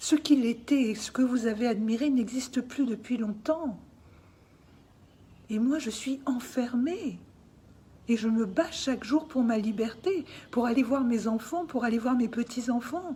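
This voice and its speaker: With long, frequent pauses, a woman speaks at a fairly slow pace in a high pitch with ordinary pitch variation. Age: 60s. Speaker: artist speaking out about family dispute. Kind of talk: personal testimony. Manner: emotional, insistent.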